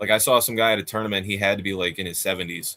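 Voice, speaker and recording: The man's voice sits at fairly low pitch with a bright, sharp tone. He talks very fast with fairly even intonation. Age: 30s. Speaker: armored combat fighter. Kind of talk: casual chat.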